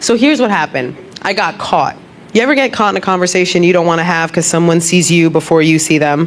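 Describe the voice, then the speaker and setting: Talking very fast with an American accent, a woman's pitch swings very widely. Her voice carries audible room echo, with crowd noise in the background. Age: 30s. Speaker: comedian. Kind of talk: stand-up. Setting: stage with audience. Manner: animated.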